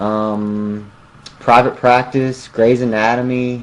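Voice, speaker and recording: In a Southern US accent, a man speaks at a very slow pace. His intonation stays fairly even. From US South, Mississippi near Jackson. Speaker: musician. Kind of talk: interview.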